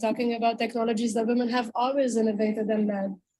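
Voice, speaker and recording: A woman with a non-native accent speaks at a fairly high pitch. Her tone is dark and mellow, her intonation monotone and flat. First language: not English. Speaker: panel speaker on feminist tech. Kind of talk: panel discussion.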